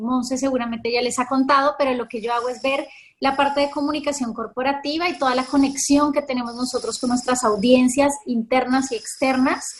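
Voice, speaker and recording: At a moderate pace, a woman talks in a high pitch with monotone, flat intonation. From Colombia. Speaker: corporate communications manager. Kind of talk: webinar conversation.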